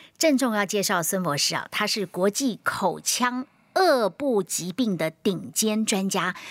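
A fairly slow pace and lively intonation in a very clean recording with a silent background and a dry, close sound with no echo. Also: woman, medium pitch for a woman. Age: 50s. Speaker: health radio host. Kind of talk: casual chat. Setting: studio. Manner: animated.

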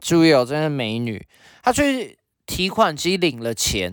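A man with a Taiwanese accent at a fairly high pitch, with very wide pitch swings and a moderate pace, on a very clean recording with a silent background. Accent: Taiwanese Mandarin. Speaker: podcast co-host. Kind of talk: casual chat.

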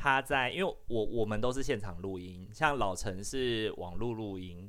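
A man talks at a moderate pace with lively intonation. His voice sits fairly low. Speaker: social worker and podcast host. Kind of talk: casual chat. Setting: online live session.

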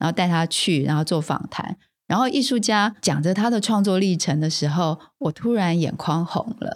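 A woman with a Taiwanese accent speaks at a moderate pace in a fairly low pitch with ordinary pitch variation, in a very clean recording with a silent background. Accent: Taiwanese Mandarin. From Taiwan, rural Taoyuan. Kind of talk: interview conversation.

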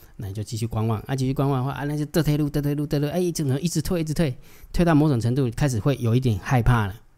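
On a very clean recording with a silent background, a man speaks very fast in a fairly high pitch with a dark, mellow tone and ordinary pitch variation. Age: 40s. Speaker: stock market analyst. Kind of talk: casual livestream chat. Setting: livestream. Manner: soft-spoken. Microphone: close to the mic, gain turned up.

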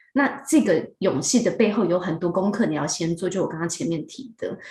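A woman with a Taiwanese accent speaks at medium pitch with ordinary pitch variation. Her tone is dark, mellow and somewhat breathy. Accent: Taiwanese Mandarin. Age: young. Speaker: HR director. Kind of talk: interview. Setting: video call.

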